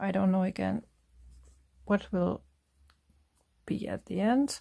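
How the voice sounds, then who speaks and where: A woman speaks with a German accent. Her pace is very slow. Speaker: craft artist. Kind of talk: craft tutorial talk.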